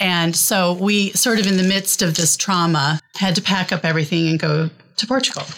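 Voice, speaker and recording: Using a normal speaking voice, a woman with an American accent talks at medium pitch and a moderate pace. Her pitch variation is ordinary and her loudness very even. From Iowa, US Midwest. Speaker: poet and writer. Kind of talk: casual interview chat.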